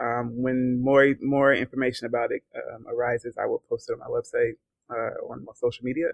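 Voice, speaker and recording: A man with an American accent at a fairly quick pace, big swings in loudness, in a dry, close sound with no echo. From US South, Georgia. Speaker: author. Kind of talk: interview. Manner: halting.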